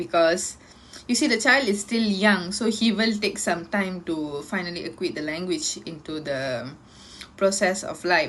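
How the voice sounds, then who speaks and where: A woman speaks with a Tamil accent at a fairly slow pace. Her intonation is lively. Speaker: university student. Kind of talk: class presentation. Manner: halting.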